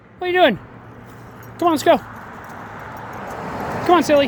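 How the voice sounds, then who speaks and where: Very fast speech broken by long, frequent pauses, over noticeable background noise. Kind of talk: casual vlog talk while walking dog. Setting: outdoors.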